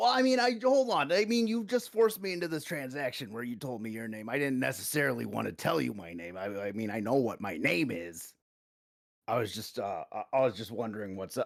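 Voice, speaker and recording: A man's raspy, put-on character voice at a medium pitch and fairly quick pace. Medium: actual play. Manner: hesitant, halting.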